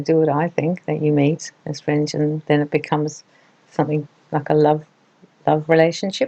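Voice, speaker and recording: In an Australian accent, a woman talks at a fairly quick pace. Her voice is very deep and low, with a dark, mellow tone. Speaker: relationship advice presenter. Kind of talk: advice talk to camera.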